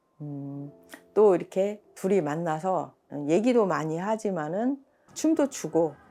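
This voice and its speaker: Music plays behind a woman talking at a very slow pace. Her pitch swings very widely. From Korea, rural village. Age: 60s. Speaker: mother of four, aspiring spiritual practitioner. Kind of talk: documentary interview answer. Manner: hesitant, conversational.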